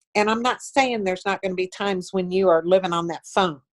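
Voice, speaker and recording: The recording of this woman sounds dry and close, with no echo. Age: 60s. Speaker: network marketing leader. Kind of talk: interview. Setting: video call. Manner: animated.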